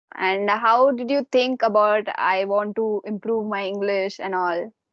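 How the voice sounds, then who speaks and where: A woman with an Indian accent speaks fairly slowly, her intonation fairly even. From India, Jharkhand (Dhanbad). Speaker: English learner and YouTuber. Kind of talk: casual chat.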